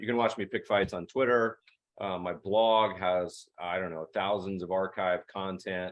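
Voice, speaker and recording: A man with an American accent and a very deep, low pitch speaks at a moderate pace in a monotone, flat intonation. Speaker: investment manager and podcast host. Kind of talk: virtual presentation. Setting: video call webinar. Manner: casual, chatty.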